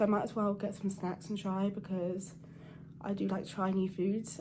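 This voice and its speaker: Quiet and somewhat breathy, a woman speaks at a fairly quick pace with a dark, mellow tone. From Channel Islands. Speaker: cybersecurity vlogger. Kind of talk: casual vlog to camera. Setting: hotel room. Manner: quiet, hushed.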